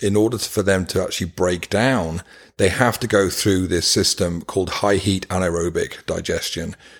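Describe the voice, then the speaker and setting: The speech moves at a moderate pace with fairly even intonation on a very clean recording with a silent background. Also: man. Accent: British. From UK. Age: 50s. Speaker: nonprofit founder, former paramedic. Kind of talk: interview.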